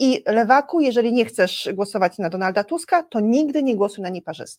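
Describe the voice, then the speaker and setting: A plain, everyday voice moves at a fairly quick pace. The recording is very clean with a silent background and a dry, close sound with no echo. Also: woman. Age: 50s. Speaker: civic activist. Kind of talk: interview. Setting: studio.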